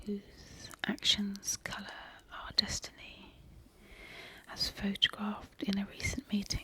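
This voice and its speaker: A gentle, fairly slow whisper with long, frequent pauses over noticeable background noise. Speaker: ASMR creator who cleans and looks after a pub. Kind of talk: soft reading of old newspaper clippings (ASMR). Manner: soft-spoken, gentle, slow.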